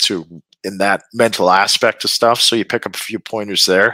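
With a Canadian Prairies accent, a man speaks at a fairly low pitch in a bright, sharp tone. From Saskatchewan, Canada. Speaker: retired hockey player. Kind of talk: interview.

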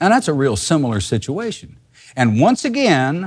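On a very clean recording with a silent background, a man speaks at a moderate pace. His fairly high voice swings very widely in pitch. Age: 50s. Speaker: Bible teacher. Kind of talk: sermon.

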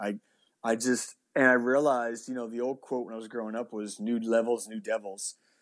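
Speaking at a moderate pace in a Nova Scotian accent, the voice comes through a very clean recording with a silent background. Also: man. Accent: Nova Scotian Canadian English. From Canada, Halifax, Nova Scotia. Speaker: pastor. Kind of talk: casual interview.

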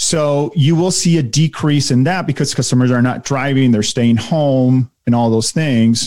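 A man talks at a moderate pace in a medium pitch with ordinary pitch variation. His tone is dark and mellow, and his loudness stays very even. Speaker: auto dealer marketing consultant. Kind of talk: casual interview.

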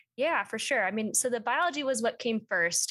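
An unremarkable speaking voice with an American accent, fairly quick pace and ordinary pitch variation, in a very clean recording with a silent background. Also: woman. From Minnesota, Twin Cities suburbs. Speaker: ecology graduate student. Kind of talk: interview.

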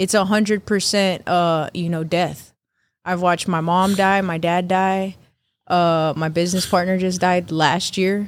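A woman with an American accent speaks at a fairly slow pace in a monotone, flat intonation. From Texas, San Antonio. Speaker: barber. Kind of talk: casual chat.

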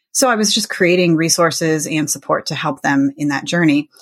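Recorded very cleanly with a silent background, a woman talks at a fairly quick pace in a very deep, low pitch. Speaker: author, military spouse. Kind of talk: interview conversation.

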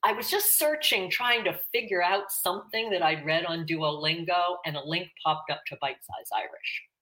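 A woman with a Pittsburgh accent has a bright, sharp tone. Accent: American, Pittsburgh. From Pittsburgh, Pennsylvania. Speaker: retired educator and farmer, Irish learner. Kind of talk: interview.

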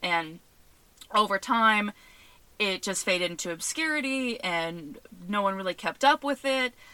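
A woman's medium-pitched voice, bright and sharp in tone, with lively intonation, a fairly slow pace and long, frequent pauses, on a very clean recording with a silent background. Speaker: podcast host. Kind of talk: casual solo podcast commentary.

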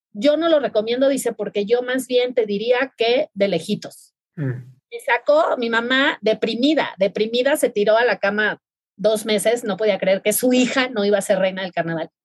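Recorded dry and close with no echo, a woman talks at a moderate pace, her fairly high pitch moving with ordinary variation. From Mexico, Mazatlán, Sinaloa. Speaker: podcast host. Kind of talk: casual chat.

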